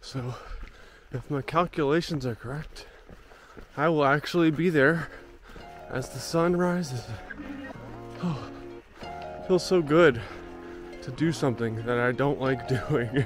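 With clear music in the background, a man talks at a fairly slow pace with long, frequent pauses, the sound dry with no echo. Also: ordinary pitch variation. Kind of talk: casual vlog chat. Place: forest.

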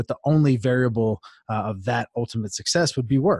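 The voice moves at a fairly quick pace, somewhat breathy, with ordinary pitch variation. The sound is dry with no echo, over a quiet background. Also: man. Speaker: podcast guest. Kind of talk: interview answer. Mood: reflective, earnest. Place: studio. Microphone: studio mic.

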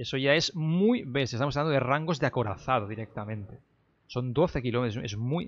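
Against a quiet background, a man with a normal speaking voice talks at a fairly quick pace, with a medium pitch for a man and ordinary pitch variation. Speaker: gaming YouTuber. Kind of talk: gameplay news commentary. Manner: casual with fillers and repetitions.

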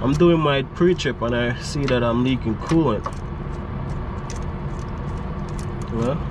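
Fairly slow, fairly even speech over noticeable background noise. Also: man. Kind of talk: casual vlog chat. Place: street.

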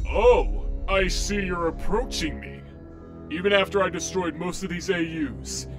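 A man in a put-on character voice at a moderate pace, with clear music in the background. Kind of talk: fan comic dub. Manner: grumpy, sarcastic.

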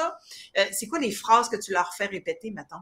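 A woman speaks in a bright, sharp tone with ordinary pitch variation. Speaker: talk show host. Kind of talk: interview. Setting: livestream video. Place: home room. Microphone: webcam.

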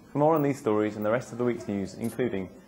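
A man with a medium pitch and ordinary pitch variation talks over light background noise. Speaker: news presenter. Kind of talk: local TV newsreading, scripted bulletin. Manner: brisk, polished, even-toned delivery with upbeat sign-off. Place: street. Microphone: lapel.

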